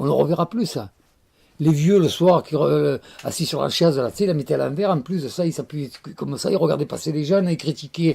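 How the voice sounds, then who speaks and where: The man's voice is fairly high. He talks at a fairly quick pace. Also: ordinary pitch variation. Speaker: Provençal storyteller. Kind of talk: interview answer about storytelling and Provence of the past. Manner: warm, nostalgic, expressive.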